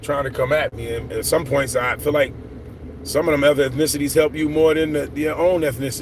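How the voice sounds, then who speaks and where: Amid noticeable background noise and audible room echo, a man talks at a very fast pace in a fairly high voice. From Philadelphia, US. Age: 50s. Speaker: vlogger. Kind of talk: casual livestream monologue. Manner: rambling, conversational.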